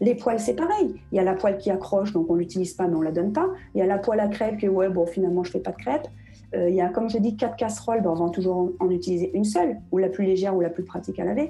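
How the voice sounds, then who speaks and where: A woman talks at a very fast pace with vocal fry, a dark, mellow tone, medium pitch and ordinary pitch variation. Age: 40s. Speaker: professional home organizer and blogger. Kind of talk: interview.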